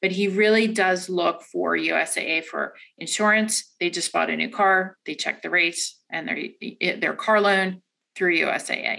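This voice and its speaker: This woman has a bright, sharp tone and medium pitch, with some vocal fry. Her intonation stays fairly even at a fairly slow pace. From Delaware, US. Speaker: credit card product manager. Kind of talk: interview. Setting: office.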